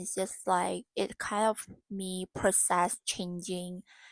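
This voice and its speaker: Someone speaks at a very slow pace with an Indonesian accent. The recording is very clean, dry and close, with a silent background and no echo. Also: woman. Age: 20s. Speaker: vlogger and university student. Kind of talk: casual vlog monologue. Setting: dim room lit by warm lamp. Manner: halting, searching for words.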